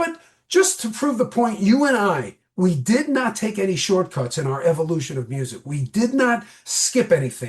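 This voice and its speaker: An animated man with an American accent, high-pitched, at a moderate pace, with very wide pitch swings and hardly any pauses. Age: 60s. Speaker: podcast guest, music fan. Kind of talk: casual chat.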